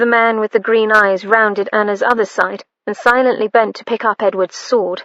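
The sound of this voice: The intonation stays fairly even in an unforced reading voice. Things are quiet in the background.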